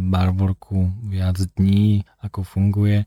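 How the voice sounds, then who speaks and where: In a dark, mellow tone and fairly low pitch, a man talks with monotone, flat intonation, the sound dry and close with no echo on a very clean recording with a silent background. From Slovakia, Liptov region. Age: 20s. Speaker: guest sharing faith testimony. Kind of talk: testimony. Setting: studio.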